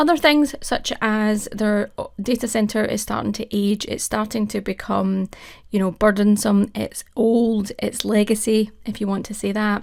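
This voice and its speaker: In a very clean recording with a silent background, a woman speaks at a fairly high pitch with fairly even intonation. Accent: Scottish. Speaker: cloud technology advocate. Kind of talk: conference presentation.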